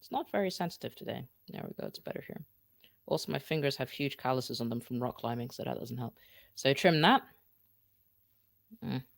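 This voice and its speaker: At a fairly quick pace, a man of medium pitch talks with vocal fry, long and frequent pauses, and big swings in loudness, the sound dry and close with no echo. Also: very clean recording, silent background. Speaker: podcasting tutorial host. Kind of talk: live-streamed tutorial; demo podcast recording. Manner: casual, chatty; loud, shouting a little.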